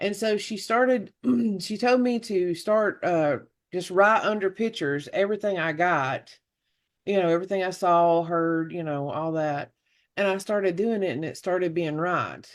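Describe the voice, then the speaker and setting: Someone with an American accent talks at a moderate pace against a quiet background. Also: woman, medium pitch for a woman, ordinary pitch variation. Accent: Southern twang, downplayed at first. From US South, Oxford, Alabama. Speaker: medium. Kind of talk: interview. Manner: animated when excited.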